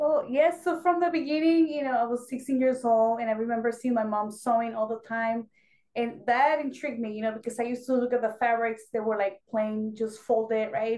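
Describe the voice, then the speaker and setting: A woman with a Spanish accent speaks at a fairly quick pace, her pitch fairly high with ordinary variation. Her tone is dark and mellow. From Mexico. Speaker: Navy veteran and fashion designer. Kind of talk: interview.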